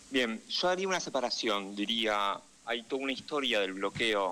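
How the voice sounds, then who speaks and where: A man speaks at a moderate pace with a Rioplatense accent. His medium-pitched voice has a bright, sharp tone. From Argentina, Buenos Aires. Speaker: political analyst and correspondent. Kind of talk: radio interview.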